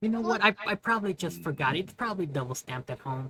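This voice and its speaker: In a put-on character voice at a middle pitch, the speaker rattles along at a very fast pace. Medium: actual play. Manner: earnest, rule-minded.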